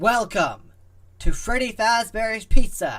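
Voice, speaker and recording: A man projects a raised, put-on character voice at an extremely high pitch. His pace is fairly slow, with ordinary pitch variation. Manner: theatrical, showy.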